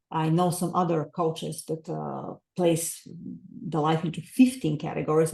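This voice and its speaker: Speaking with a non-native accent, a woman with a very deep, low pitch and vocal fry keeps fairly even intonation at a moderate pace. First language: not English. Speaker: author and life coach. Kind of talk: podcast interview. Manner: hesitant fillers.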